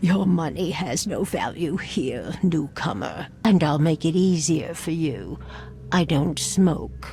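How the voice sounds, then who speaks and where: A put-on character voice at middle pitch, with clear background noise. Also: fairly slow pace. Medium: video game. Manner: cryptic, enigmatic.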